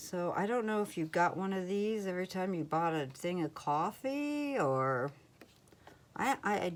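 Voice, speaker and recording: This woman speaks with a Midwestern American accent at a fairly slow pace. Her pitch swings very widely. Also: medium pitch for a woman. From US Midwest, Ohio. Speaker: crafting YouTuber. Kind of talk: casual haul video talk. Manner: casual, hesitant with fillers.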